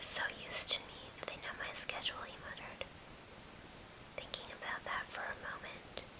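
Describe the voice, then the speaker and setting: Whispering at a fairly quick pace with long, frequent pauses, the speaker is heard over noticeable background noise. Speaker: ASMR whisperer. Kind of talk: read story. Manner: whispered.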